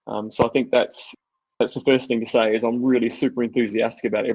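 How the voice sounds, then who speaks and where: In an Australian accent, a man speaks with a dry sound with no echo against a quiet background. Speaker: technology executive and presenter; presenter. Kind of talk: technical webinar presentation. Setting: online webinar. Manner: fast; hesitant, many fillers. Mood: enthusiastic, friendly. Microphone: video call.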